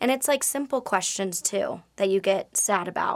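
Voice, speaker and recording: A woman at medium pitch talks at a moderate pace in a normal speaking voice. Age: 20s. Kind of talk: interview. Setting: studio.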